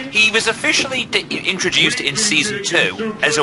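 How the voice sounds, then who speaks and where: Noticeable background noise sits behind a man speaking with an English accent. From England. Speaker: gaming channel host. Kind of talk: casual commentary over a video.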